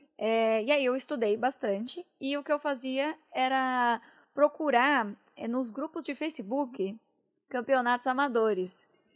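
Against a quiet background, a woman speaks at a fairly slow pace. Her pitch is high and varies in an ordinary way. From interior of São Paulo state (Itu). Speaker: esports caster and presenter. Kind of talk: casual interview chat.

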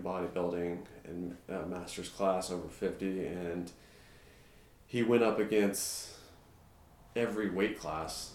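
Speaking quietly at a fairly slow pace, a man with a very deep, low pitch leaves long, frequent pauses. Room echo is audible. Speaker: navy veteran and strength coach. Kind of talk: casual interview chat. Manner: quiet, measured.

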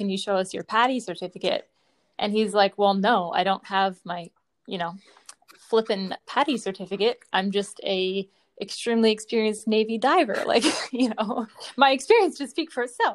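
A woman speaks with a normal speaking voice and ordinary pitch variation. Her pace is moderate. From Eastern Canada, Newfoundland. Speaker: program host, military family member. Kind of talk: casual chat.

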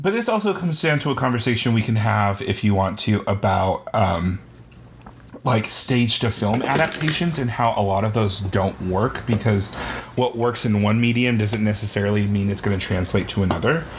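At a moderate pace, the speaker keeps a very even loudness and ordinary pitch variation while noticeable background noise runs underneath. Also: man, fairly low pitch for a man. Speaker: podcast co-host. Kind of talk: casual chat. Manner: animated ranting.

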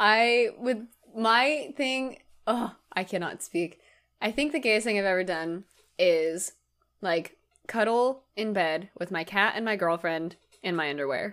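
A woman's plain, everyday voice, fairly slow in pace, with lively intonation. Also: medium pitch for a woman. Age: 20s. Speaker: podcast co-host and teacher. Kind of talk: casual chat. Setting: video call.

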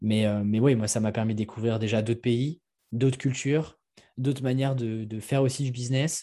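Against a quiet background, the voice has a dark, mellow tone and a monotone, flat intonation at a moderate pace. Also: man. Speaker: entrepreneur, media creator for freelancers. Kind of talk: casual interview. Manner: hesitant, many fillers.

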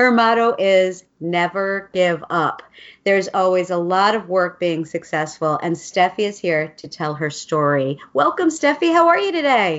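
With an enthusiastic tone and a medium pitch, a woman speaks at a fairly slow pace with hardly any pauses. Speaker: podcast host. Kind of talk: interview.

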